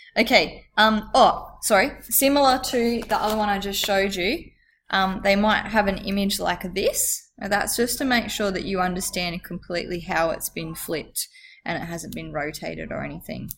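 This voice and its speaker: A woman with vocal fry speaks at a medium pitch and a moderate pace, using ordinary pitch variation. The recording is very clean with a silent background. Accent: Australian. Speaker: school teacher. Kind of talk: tutorial. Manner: casual, hesitant with fillers.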